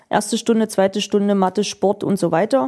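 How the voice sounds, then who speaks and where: A woman talks at a moderate pace in a fairly high pitch. Her tone is dark and mellow. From eastern Germany, Magdeburg. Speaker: parliamentary press spokesperson. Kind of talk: interview. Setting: office.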